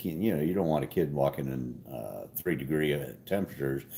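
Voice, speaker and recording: A man speaks at a moderate pace in a dark, mellow tone with lively intonation. The recording is very clean, with a silent background. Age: 60s. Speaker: carburetor shop owner and livestream host. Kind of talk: casual livestream chat reading comments. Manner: halting, many fillers and restarts.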